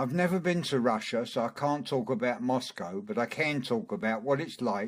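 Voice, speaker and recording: A man with a London accent speaks at medium pitch with very wide pitch swings. The recording is very clean, with a silent background. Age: 70s. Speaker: author. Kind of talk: autobiographical narration.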